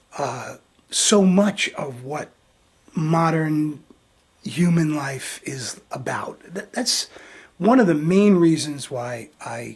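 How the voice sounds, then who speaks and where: Speaking at a very slow pace, a man with a fairly high pitch uses lively intonation and big swings in loudness. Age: 60s. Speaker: video blogger. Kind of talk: vlog tribute monologue. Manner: halting, many fillers and repetitions.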